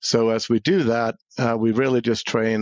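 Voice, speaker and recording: A man with a slight Swedish accent and a fairly low pitch talks at a moderate pace with ordinary pitch variation. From Sweden. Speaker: cybersecurity executive and military veteran. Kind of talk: podcast interview.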